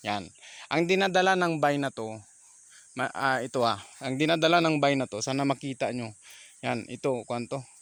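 A man with a fairly high voice talks at a moderate pace. He leaves long, frequent pauses, and the recording is very clean with a silent background. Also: ordinary pitch variation. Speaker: small vegetable farmer and vlogger. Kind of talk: casual farm vlog tutorial. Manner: halting, many fillers.

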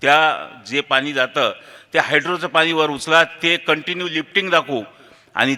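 A man talks in a normal speaking voice, fairly high in pitch, with ordinary pitch variation. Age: 40s. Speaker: local politician and engineer. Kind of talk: memorial speech.

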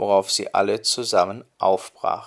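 A man's calm, soothing voice at a fairly slow pace, in a very clean recording with a silent background. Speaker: storyteller. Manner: calm, soothing, measured storytelling pace.

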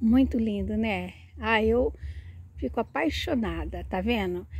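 A woman at a very slow pace, in a dry sound with no echo. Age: 60s. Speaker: plant vlogger. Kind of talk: casual video tutorial. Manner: animated. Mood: warm, enthusiastic. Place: garden. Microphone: phone near.

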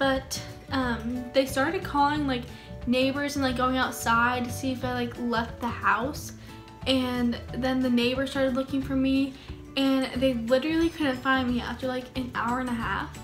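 Over clear music in the background, a woman with a high pitch speaks at a moderate pace with fairly even intonation. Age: young. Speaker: YouTuber. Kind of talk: casual storytime talk to camera. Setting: home, in a hammock. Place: home room. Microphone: phone near.

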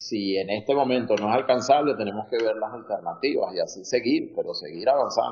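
A man talks at a fairly quick pace with hardly any pauses. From Venezuela. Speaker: entrepreneur, construction business owner. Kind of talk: interview.

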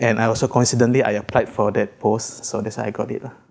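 A man speaks at a very fast pace. His voice is fairly low-pitched and his intonation monotone and flat. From Malaysia, Sarawak. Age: 30s. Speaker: civil servant, fisheries lab officer. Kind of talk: interview. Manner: halting, many fillers.

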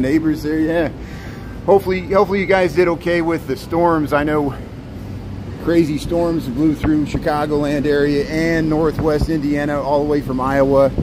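Over music in the background, the speaker goes at a moderate pace with fairly even intonation. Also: man. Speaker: city walking-tour streamer. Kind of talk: casual live-stream walking commentary. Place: street. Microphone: phone near.

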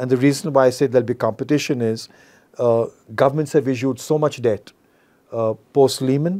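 Here a man talks at a fairly quick pace. His tone is dark and mellow, with ordinary pitch variation. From India. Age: 60s. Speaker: investment firm founder. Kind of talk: interview. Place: studio. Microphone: lapel.

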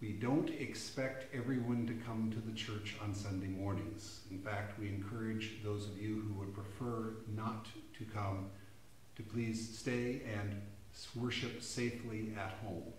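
Monotone, flat delivery at a fairly slow pace, with audible room echo and light background noise. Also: man, fairly low pitch for a man. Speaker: pastor. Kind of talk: church announcement and sermon. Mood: warm, reassuring. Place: church.

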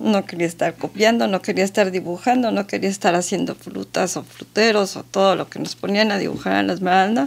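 A woman talks at a moderate pace. Her voice has vocal fry. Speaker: interview guest. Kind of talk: interview answer. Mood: warm, amused. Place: studio. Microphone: studio mic.

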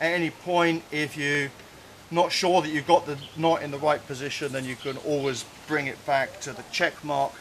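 A man talks at a moderate speed against light background noise. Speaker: cave diving instructor. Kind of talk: tutorial. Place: forest.

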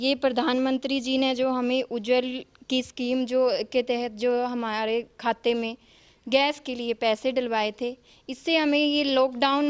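Against a quiet background, a woman speaks at a fairly slow pace in a high, monotone voice with flat intonation. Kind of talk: interview answer. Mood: grateful, a little shy. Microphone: handheld.

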